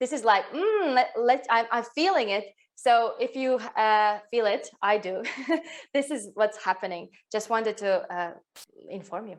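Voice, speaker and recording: A woman with a Latvian accent, fairly high in pitch, with lively intonation and long, frequent pauses. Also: moderate pace. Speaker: women's health coach. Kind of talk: online workshop.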